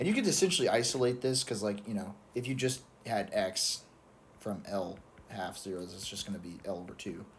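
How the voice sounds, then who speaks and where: An ordinary speaking voice, a man's, runs at a fairly quick pace with fairly low pitch and ordinary pitch variation. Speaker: student explaining exam solutions. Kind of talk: tutorial. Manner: casual, self-correcting with fillers.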